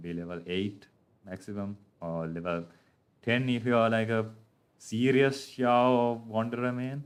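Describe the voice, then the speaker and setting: Speaking fairly slowly, a man with a fairly low voice uses ordinary pitch variation. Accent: non-native. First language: not English. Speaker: gaming livestreamer. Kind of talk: gameplay livestream commentary. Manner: hesitant, many filler words.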